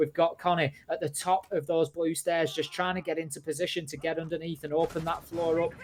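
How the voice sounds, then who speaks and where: Someone with a northern English accent talks at a fairly quick pace over noticeable background noise. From northern England. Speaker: esports caster. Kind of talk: live commentary. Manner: animated.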